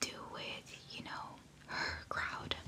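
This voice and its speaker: Whispering from a woman over noticeable background noise. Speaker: ASMR creator. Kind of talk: book reading, narrated story. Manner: whispered, soft-spoken.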